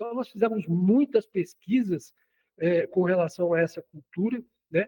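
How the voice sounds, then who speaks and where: A man's dark, mellow voice, high in pitch with ordinary variation, at a moderate pace in a dry, close sound with no echo. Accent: Cearense. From Ceará, Brazil. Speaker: agronomist, soil scientist. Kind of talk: radio interview. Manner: halting, many fillers.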